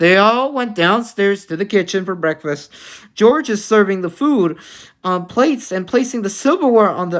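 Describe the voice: Straightforward reading aloud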